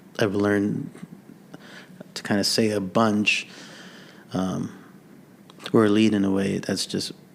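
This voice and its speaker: A man at a fairly low pitch and fairly slow pace, monotone and flat, with long, frequent pauses and noticeable background noise. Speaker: worship leader. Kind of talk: casual chat. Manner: stutter; halting.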